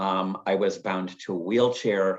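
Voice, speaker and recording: Using a normal speaking voice, a man talks with a fairly low pitch and fairly even intonation. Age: 60s. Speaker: lung cancer survivor and patient advocate. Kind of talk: testimony.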